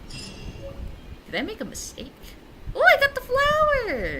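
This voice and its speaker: A woman talks against noticeable background noise. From Asia. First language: not English. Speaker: gaming streamer. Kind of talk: casual let's-play commentary. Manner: animated.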